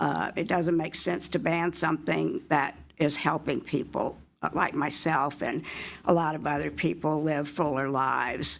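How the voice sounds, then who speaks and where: Fairly even intonation and vocal fry mark a woman speaking in a Southern US accent. She keeps a moderate pace in a very clean recording with a silent background. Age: 70s. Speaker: member of the public testifying. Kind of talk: public testimony. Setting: legislative committee hearing room. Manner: hesitant, with many fillers.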